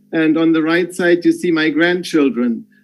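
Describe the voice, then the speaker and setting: In a German accent, a man speaks fairly slowly at a high pitch. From Germany. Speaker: business executive. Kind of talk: farewell speech on video call. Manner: halting.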